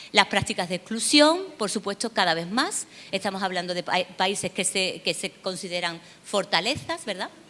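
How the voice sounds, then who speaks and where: A woman with an Andalusian accent, medium-pitched and bright, sharp in tone, with ordinary pitch variation at a moderate pace. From southern Spain, Seville. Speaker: university researcher, lecturer. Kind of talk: conference lecture. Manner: hesitant, many fillers and repetitions.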